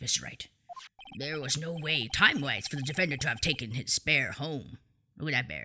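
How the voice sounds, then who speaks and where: In a put-on character voice, the speaker goes at a fairly quick pace with a low-to-middle pitch. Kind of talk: courtroom speech. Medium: machinima.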